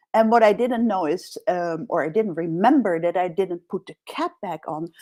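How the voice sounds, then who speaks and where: A woman with a Dutch accent speaks at a medium pitch. The recording is very clean, with a silent background and a dry, close sound with no echo. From Netherlands. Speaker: executive coach. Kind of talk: interview.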